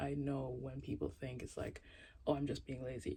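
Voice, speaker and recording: Relaxed in tone, a woman talks at a moderate pace. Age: 20s. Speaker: YouTuber. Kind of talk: casual vlog monologue. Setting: home closet with candles. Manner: relaxed, stream of consciousness.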